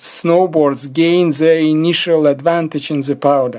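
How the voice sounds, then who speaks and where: A man with an unremarkable speaking voice. His pitch sits fairly high and he talks at a fairly slow pace. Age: 60s. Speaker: amateur ski tutorial maker. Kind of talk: tutorial.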